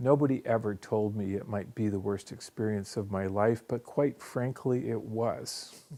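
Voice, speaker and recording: A man speaks at a fairly low pitch with a dark, mellow tone. His pace is moderate and his pitch variation ordinary. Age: 60s. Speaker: cancer survivor sharing his story. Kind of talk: personal testimony. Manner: halting, with fillers.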